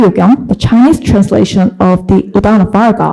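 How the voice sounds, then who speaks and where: A woman's somewhat breathy, medium-pitched voice with a Korean accent, a dark, mellow tone and ordinary pitch variation. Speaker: academic researcher. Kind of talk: conference presentation. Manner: hesitant, many fillers.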